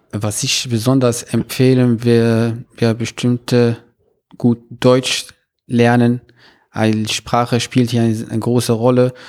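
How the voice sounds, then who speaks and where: A man at medium pitch, monotone and flat, very slow, on a very clean recording with a silent background and a dry, close sound with no echo. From Morocco, Meknes. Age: 20s. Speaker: university student. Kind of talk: interview. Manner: halting, many filler sounds.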